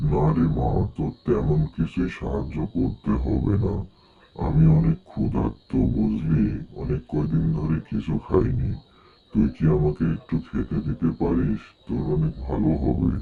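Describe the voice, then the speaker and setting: A man puts on a cartoonish character voice with a very deep, low pitch. He moves at a fairly slow pace, and his intonation is lively. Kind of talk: rural colloquial speech. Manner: fatherly, addressing her as mother.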